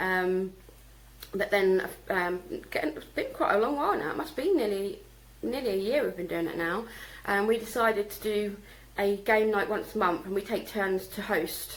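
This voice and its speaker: Noticeable background noise sits under a woman's medium-pitched voice. She uses ordinary pitch variation and takes long, frequent pauses. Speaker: vlogger and home-schooling mum. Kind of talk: casual vlog monologue. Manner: fast; hesitant with many fillers.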